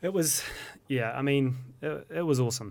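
On a very clean recording with a silent background, a man in a New Zealand accent speaks with ordinary pitch variation. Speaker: podcast host. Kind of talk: interview; scripted intro. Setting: studio.

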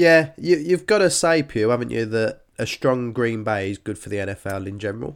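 A man with a British accent at medium pitch, lively intonation, big swings in loudness and a moderate pace, in a very clean recording with a silent background. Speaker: fantasy football podcast host. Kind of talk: casual chat. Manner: stumbling over words.

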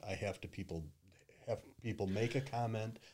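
Somewhat breathy and fairly low in pitch, a man with a Midwestern American accent speaks with ordinary pitch variation. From US Midwest, Detroit. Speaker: social media marketing consultant. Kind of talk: casual interview.

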